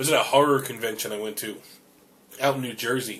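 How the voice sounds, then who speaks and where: A man at medium pitch and a very fast pace, with noticeable background noise. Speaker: podcast host. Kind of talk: casual chat. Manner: animated.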